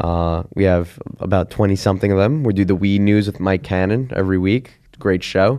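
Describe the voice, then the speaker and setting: A man talks fairly quickly in a normal speaking voice at a fairly low pitch with ordinary pitch variation. His loudness stays very even against a quiet background. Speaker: podcast co-host. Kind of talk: casual banter, comedy podcast.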